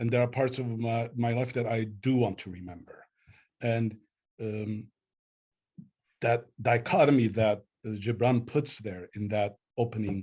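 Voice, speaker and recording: With an Armenian accent, a man speaks at a fairly slow pace and a medium pitch, using fairly even intonation, a dark, mellow, somewhat breathy tone, and long, frequent pauses. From Lebanon, Beirut. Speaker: poet. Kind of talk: book club interview.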